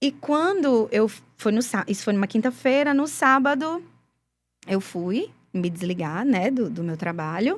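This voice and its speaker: A woman with a Rio Grande do Norte accent speaks at a fairly slow pace in a fairly high voice, her pitch swinging very widely, on a very clean recording with a silent background. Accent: Brazilian Portuguese, northeastern (potiguar). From Brazil, Rio Grande do Norte interior. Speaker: gospel singer, former forró band singer. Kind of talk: interview testimony.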